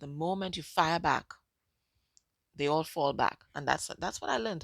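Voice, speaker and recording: A soft-spoken woman with a very deep, low voice talks at a moderate pace with ordinary pitch variation, recorded very cleanly against a silent background. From Caribbean. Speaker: psychic medium and tarot reader. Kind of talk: tarot reading monologue. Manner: casual, repetitive.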